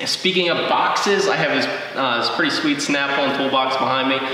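There is strong room echo as a man speaks at a fairly quick pace with ordinary pitch variation. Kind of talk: casual vlog chat. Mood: friendly, upbeat. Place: garage.

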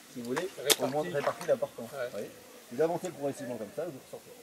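There is noticeable background noise as a man speaks at a fairly quick pace with ordinary pitch variation. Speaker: bay walking guide. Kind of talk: outdoor demonstration explaining to a group. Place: beach. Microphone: camera far.

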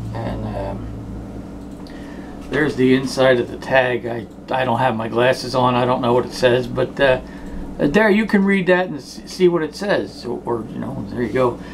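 With noticeable background noise behind him, a man in an American accent speaks at a fairly slow pace. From South Jersey, US; New Jersey. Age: 40s. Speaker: sports memorabilia vlogger. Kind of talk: casual monologue. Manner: rambling, hesitant with fillers. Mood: relaxed, joking. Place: home room. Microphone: phone near.

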